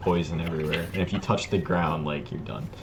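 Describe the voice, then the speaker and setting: A man speaks. Background noise is noticeable. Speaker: Minecraft server streamer. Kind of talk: casual chat. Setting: live stream.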